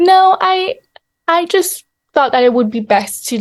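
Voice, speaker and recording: Speaking fairly slowly with a French accent, a woman lets her pitch swing very widely. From Europe. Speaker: novelist. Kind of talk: interview. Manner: halting, many fillers.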